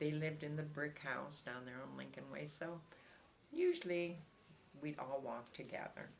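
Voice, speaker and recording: With an American accent, a woman speaks at a moderate pace, leaving long, frequent pauses amid noticeable background noise. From Iowa, USA. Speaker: longtime local resident, oral history interviewee. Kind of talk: oral history interview answer. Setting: interview recording.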